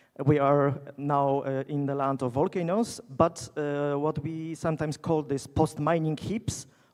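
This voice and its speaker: A man with a Polish accent talks with fairly even intonation. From Poland. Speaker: geologist, keynote speaker. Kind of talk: conference keynote lecture. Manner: halting, many fillers.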